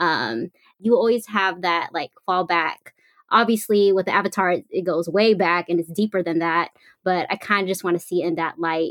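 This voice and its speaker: Dry and close with no echo, a woman's voice comes through as a plain, everyday voice with an American accent, medium pitch, ordinary pitch variation and a moderate pace. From US West Coast. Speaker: social media personality. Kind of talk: casual chat.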